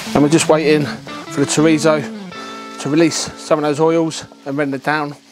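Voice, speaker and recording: The speech moves at a moderate pace while clear music plays in the background. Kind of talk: cooking tutorial. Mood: relaxed, friendly. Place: garden.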